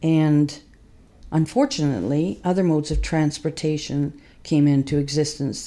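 With a Canadian accent, the voice moves at a fairly slow pace, dark and mellow in tone, with ordinary pitch variation. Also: woman. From Western Canada, Winnipeg. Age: 70s. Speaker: local historian and rail advocate. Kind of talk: interview.

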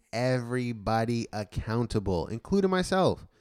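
In an ordinary speaking voice, a man talks at a moderate pace and medium pitch, with a dry, close sound with no echo. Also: very clean recording, silent background. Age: 20s. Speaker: podcast co-host. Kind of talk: casual chat.

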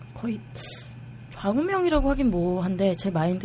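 Noticeable background noise surrounds a woman speaking at a moderate pace. Her medium pitch swings very widely. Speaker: online forum member. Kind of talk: casual chat. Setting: studio.

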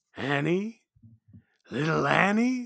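At a middle pitch, the speaker uses a put-on character voice with a sinister tone. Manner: creepy, sinister.

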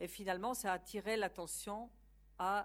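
With a Polish accent, a woman talks at a fairly slow pace, her pitch varying in an ordinary way. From Poland. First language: Polish (speaking French). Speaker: university academic lecturer. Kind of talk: lecture.

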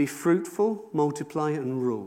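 With a South Wales accent, a man speaks at a fairly slow pace in a dark, mellow tone. His intonation is lively, and audible room echo surrounds him. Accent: South Wales Welsh English. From Wales, South Wales valleys. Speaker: pastor. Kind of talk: sermon.

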